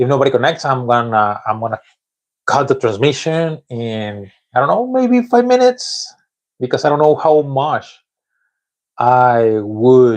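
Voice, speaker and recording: A man with a Spanish accent, medium-pitched, at a fairly slow pace with ordinary pitch variation and long, frequent pauses, over a quiet background. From Mexico. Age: 40s. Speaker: English learner vlogger. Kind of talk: live stream monologue. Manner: halting.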